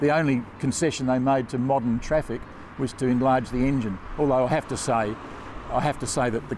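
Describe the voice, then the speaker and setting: With fairly even intonation and a fairly quick pace, a man talks in a dry sound with no echo, though noticeable background noise is present. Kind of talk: interview answer. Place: street.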